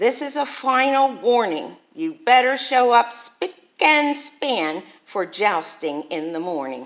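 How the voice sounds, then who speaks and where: A put-on character voice from a woman, high in pitch, at a fairly slow pace. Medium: read story.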